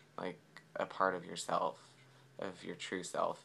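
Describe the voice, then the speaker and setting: This man has a resonant voice. He talks at a moderate pace. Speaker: vlogger. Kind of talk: casual vlog. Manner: hesitant, many fillers.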